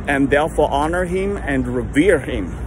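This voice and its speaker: Noticeable background noise sits under a man speaking at a moderate pace in a dry sound with no echo. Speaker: lay preacher. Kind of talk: sermon-like casual vlog talk. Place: street. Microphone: phone near.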